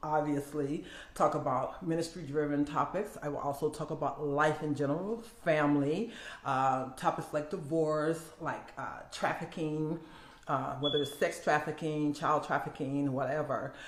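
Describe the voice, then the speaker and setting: A woman with an American accent talks at a moderate pace in a very deep, low voice. Audible room echo surrounds her. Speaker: minister and content creator. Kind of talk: casual vlog intro. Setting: home video setup with ring light. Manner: audible lip smacking; filler words.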